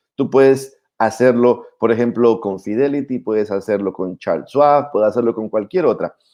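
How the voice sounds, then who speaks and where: Here a man talks at a medium pitch. His tone is dark and mellow. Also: ordinary pitch variation, moderate pace, hardly any pauses. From Colombia, Putumayo. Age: 60s. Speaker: YouTube host, personal finance speaker. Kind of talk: casual chat.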